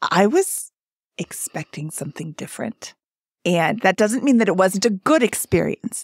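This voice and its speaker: In a normal speaking voice, the delivery moves at a moderate pace with lively intonation and a dry, close sound with no echo. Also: woman, medium pitch for a woman. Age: 50s. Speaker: podcast co-host appearing as guest. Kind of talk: casual chat.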